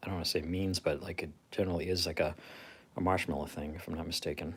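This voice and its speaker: A man with a very deep, low voice talks at a very fast pace, somewhat breathy and monotone, flat in intonation. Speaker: YouTuber. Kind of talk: casual chat. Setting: livestream at home.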